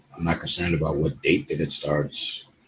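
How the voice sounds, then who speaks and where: Over noticeable background noise, this man speaks at a fairly quick pace. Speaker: YouTuber and online DJ promoting his business groups. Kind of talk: casual vlog talk to camera.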